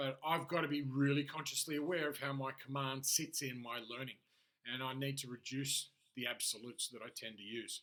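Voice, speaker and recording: A man speaks with an Australian accent at a fairly quick pace. His medium-pitched voice is bright and sharp, with fairly even intonation. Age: 40s. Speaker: life and business coach, aspiring poker player. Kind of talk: solo monologue video diary. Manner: can sound harsh and demanding.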